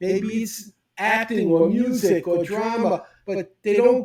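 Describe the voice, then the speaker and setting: A man speaks with a New York accent. His pitch is high. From US Northeast, Brooklyn New York. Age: 70s. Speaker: speed reading teacher. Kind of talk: interview.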